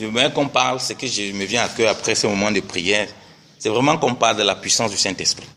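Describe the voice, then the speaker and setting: Against noticeable background noise, a man talks at a fairly quick pace in a medium pitch with ordinary pitch variation. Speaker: preacher. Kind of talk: sermon.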